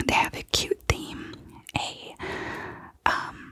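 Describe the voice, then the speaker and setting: Someone whispers at a very slow pace. Background noise is noticeable throughout. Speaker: ASMR creator. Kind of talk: ASMR whispered show-and-tell. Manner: whispering; soft-spoken.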